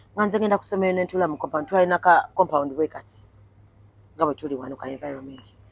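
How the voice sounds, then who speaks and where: Speaking very fast with an East African accent, a woman uses a very deep, low pitch and lively intonation. Her loudness swings widely, and the sound is dry and close with no echo. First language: Swahili. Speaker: interviewee. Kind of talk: casual interview chat.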